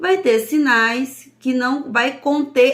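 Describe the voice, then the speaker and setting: Speaking very slowly, a woman with a northeastern Brazilian accent uses a high pitch. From Brazil, Northeast. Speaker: sign language teacher. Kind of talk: lesson.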